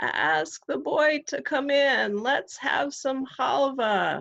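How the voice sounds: A woman uses a raspy, put-on character voice pitched high. She speaks at a very slow pace.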